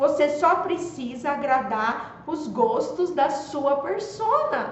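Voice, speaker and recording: A high-pitched woman's voice at a very slow pace, with lively intonation and audible room echo. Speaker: social media marketing coach. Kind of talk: live stream talk.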